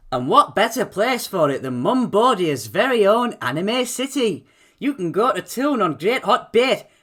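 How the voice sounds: Natural, read-aloud delivery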